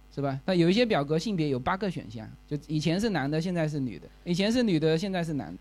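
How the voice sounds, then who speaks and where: This man's pitch swings very widely. He talks at a very fast pace. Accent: Fuzhou. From Fujian, China. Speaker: podcast host. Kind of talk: live talk to listeners. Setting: stage with audience. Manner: casual, filler-heavy.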